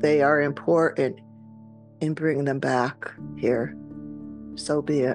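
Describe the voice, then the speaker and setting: A woman speaks at a very slow pace in a soothing, calm tone, her loudness very even, with long, frequent pauses and clear music in the background. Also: dry sound with no echo. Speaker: podcast host and guided meditation leader. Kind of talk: guided meditation. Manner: slow, soothing, calm. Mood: calm, soothing, devotional. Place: home room. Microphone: webcam.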